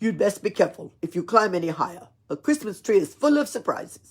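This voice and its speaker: A woman does a put-on character voice, gruff and at medium pitch, in a Russian accent. She talks at a fairly quick pace with lively intonation. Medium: read story. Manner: hearty, chuckling.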